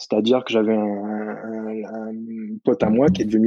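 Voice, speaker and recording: The man's voice has a dark, mellow tone, recorded dry and close with no echo. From New Caledonia, Nouméa. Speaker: fishing and hunting website creator. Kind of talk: casual chat. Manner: hesitant, many fillers.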